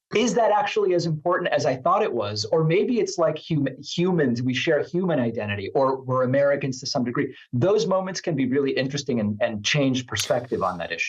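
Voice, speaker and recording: Speaking at a fairly quick pace with hardly any pauses, a man uses a somewhat breathy, fairly high voice whose pitch swings very widely. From Argentina. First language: Spanish. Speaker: political talk show host. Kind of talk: podcast interview.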